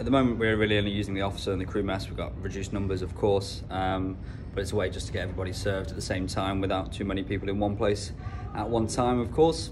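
Against noticeable background noise, a man with a fairly low pitch speaks at a very fast pace with fairly even intonation. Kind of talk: casual vlog chat. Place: cafe. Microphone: phone near.

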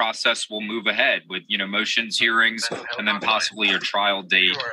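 The man's voice sounds dry with no echo, set against noticeable background noise. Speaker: investigative TV reporter. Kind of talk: interview answer. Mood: serious, informative.

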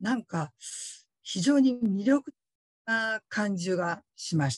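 A woman with a fairly high pitch and very wide pitch swings sounds somewhat breathy, with a dry sound, no echo and a quiet background. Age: 50s. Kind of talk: testimony. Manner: polite, formal. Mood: earnest, reflective. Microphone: video call.

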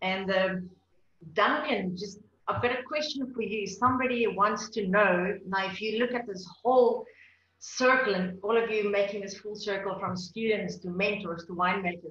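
Her voice carries audible room echo as a woman talks at a moderate speed, her pitch varying in an ordinary way. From South Africa. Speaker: wine journalist and panel moderator; wine journalist, panel moderator. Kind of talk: moderated panel discussion. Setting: video call. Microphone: webcam.

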